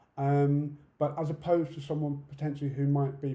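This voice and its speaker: A man with a British accent speaks in a dark, mellow tone that is somewhat breathy, with audible room echo. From UK. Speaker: conference speaker, deaf accessibility campaigner. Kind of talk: conference talk. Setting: online conference talk.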